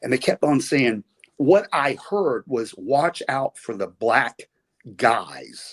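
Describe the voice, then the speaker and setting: Lively in intonation, a man with a fairly high pitch and a Southern US accent speaks with a dry, close sound and no echo. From US South. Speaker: retired pro wrestler. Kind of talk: podcast interview storytelling. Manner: casual, halting.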